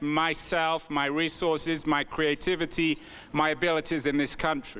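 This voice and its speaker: A man speaks with an English accent at a fairly slow pace, his pitch fairly high and his tone bright and sharp. The recording is very clean, with a silent background. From England. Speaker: author and entrepreneur. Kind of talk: keynote speech. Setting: conference stage with audience.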